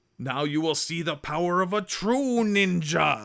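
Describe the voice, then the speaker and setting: A man's high-pitched put-on character voice, very cleanly recorded over a silent background. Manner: cheesy, exaggerated, mock-serious.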